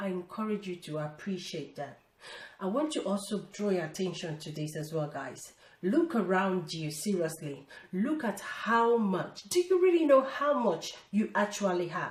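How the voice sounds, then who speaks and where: A woman's pitch swings very widely against noticeable background noise. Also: medium pitch for a woman, moderate pace. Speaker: lifestyle vlogger. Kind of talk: casual motivational talk to camera.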